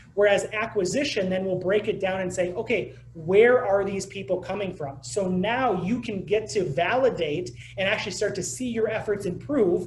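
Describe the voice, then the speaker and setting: A man talks in a high pitch with ordinary pitch variation. The recording has audible room echo and noticeable background noise. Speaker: digital marketing presenter. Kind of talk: webinar presentation. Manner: fast.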